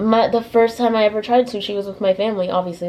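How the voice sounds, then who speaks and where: Noticeable background noise sits behind this woman. She talks at a fairly quick pace in an animated tone. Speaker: lifestyle vlogger. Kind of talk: casual vlog talk. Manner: fast.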